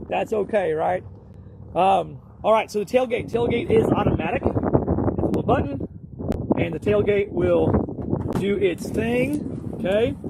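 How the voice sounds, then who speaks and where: A man talks at a fairly slow pace, stopping often for long pauses. Noticeable background noise runs underneath. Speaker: talk show co-host. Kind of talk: casual vehicle walkaround. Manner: mumbling.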